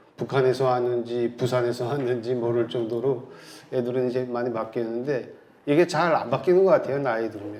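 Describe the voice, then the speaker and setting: A man at medium pitch and moderate pace, with a strong Pyongan accent, fairly even intonation and audible room echo. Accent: North Korean Pyongan dialect, still strong. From North Korea, South Pyongan province. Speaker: researcher, North Korean agriculture expert. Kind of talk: lecture. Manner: hesitant, many fillers.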